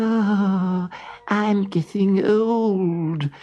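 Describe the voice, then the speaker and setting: It is a put-on character voice. The pitch sits in the middle. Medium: read story. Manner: complaining.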